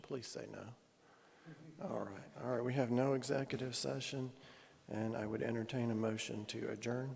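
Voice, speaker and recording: A man's voice sits at a medium pitch with fairly even intonation. Audible room echo surrounds it. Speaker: mayor chairing city council meeting. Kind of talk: council meeting chairing.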